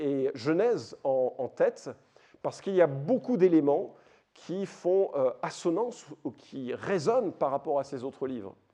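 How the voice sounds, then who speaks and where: Speaking at a fairly slow pace, a man with a high pitch and a dark, mellow tone makes very wide pitch swings. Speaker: Bible teacher, conference speaker. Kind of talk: lecture. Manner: hesitant, many fillers.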